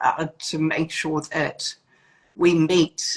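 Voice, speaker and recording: A somewhat breathy woman's voice with a New Zealand accent. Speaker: etiquette school founder. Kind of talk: interview. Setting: video call. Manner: hesitant with many fillers.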